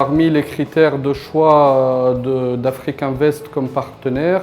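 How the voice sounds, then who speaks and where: Over noticeable background noise, a man speaks at medium pitch and a very slow pace in a monotone, flat intonation. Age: 30s. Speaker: company founder. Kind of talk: interview testimony. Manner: halting, many hesitations.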